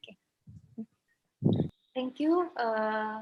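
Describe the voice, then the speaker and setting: A woman with an Indonesian accent talks at a fairly high pitch. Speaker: law professor. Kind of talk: academic presentation. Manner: halting.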